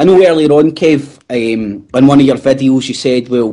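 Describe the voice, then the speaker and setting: The speaker is a man with a Glaswegian accent. His pitch is fairly high. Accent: Glaswegian Scottish. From Scotland, Glasgow. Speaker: podcast co-host. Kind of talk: casual chat.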